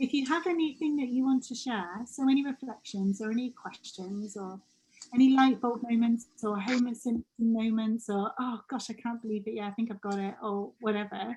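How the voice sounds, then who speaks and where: Fairly high in pitch, a woman's voice has a dark, mellow tone and ordinary pitch variation. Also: moderate pace. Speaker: coach leading a group training session. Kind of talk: group video call session, guided reflection and chat.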